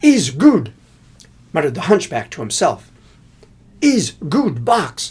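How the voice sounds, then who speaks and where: In a put-on character voice at middle pitch, the speaker mumbles at a fairly slow pace with long, frequent pauses and very wide pitch swings. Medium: read story. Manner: mumbling, broken grammar.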